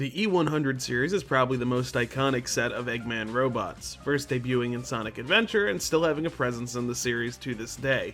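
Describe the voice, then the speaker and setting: Music plays in the background as a man talks at a fairly quick pace with hardly any pauses. His pitch is medium, with ordinary variation. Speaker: video essayist on game lore. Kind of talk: lore narration.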